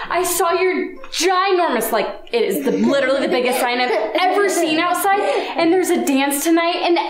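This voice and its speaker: A woman at a moderate pace, with audible room echo and noticeable background noise. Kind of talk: pretend play skit. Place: home room. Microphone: camera far.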